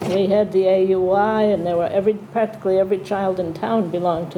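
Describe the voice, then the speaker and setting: A woman's medium-pitched, monotone, flat delivery at a fairly quick pace, with audible room echo and noticeable background noise. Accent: American. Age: 80s+. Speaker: town elder. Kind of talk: panel discussion. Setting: town hall with audience.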